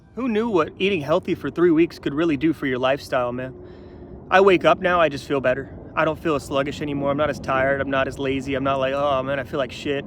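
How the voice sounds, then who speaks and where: Through noticeable background noise, a man speaks very fast at a fairly high pitch with ordinary pitch variation. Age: 30s. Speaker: vlogger. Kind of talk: casual vlog monologue. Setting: outdoors, hiking in the mountains. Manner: animated.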